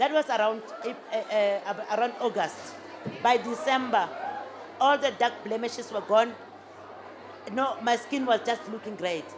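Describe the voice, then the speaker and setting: Over crowd noise in the background, a woman with a fairly high voice speaks at a fairly slow pace with ordinary pitch variation and long, frequent pauses. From South Africa, Limpopo. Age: 60s. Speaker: business owner. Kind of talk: interview before a live audience. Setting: stage with audience. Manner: halting, many fillers and restarts.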